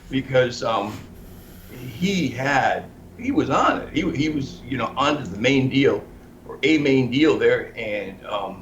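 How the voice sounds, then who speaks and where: Speaking very slowly at a medium pitch with ordinary pitch variation, a man swings widely in loudness amid noticeable background noise and audible room echo. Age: 60s. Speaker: investigative journalist. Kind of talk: interview. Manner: halting.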